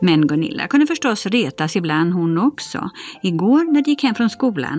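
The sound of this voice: Unforced voice reading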